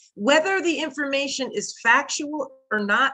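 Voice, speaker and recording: Music plays behind a woman who talks in an American accent. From Brooklyn and Connecticut.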